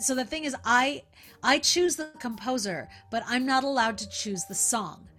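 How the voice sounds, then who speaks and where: With a Californian accent, a woman talks at a fairly slow pace in a high pitch, her intonation lively. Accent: Californian American. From Northern California. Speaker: musical theatre actress and singer. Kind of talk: interview. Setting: remote call.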